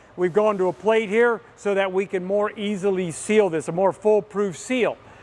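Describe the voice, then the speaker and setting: Speaking at a moderate pace, a man uses a high pitch and fairly even intonation. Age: 60s. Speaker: fabrication equipment company presenter. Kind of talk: product tutorial. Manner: casual and chatty.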